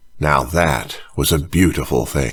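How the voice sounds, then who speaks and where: A man speaks with music in the background. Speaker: audiobook narrator. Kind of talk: audiobook fiction reading.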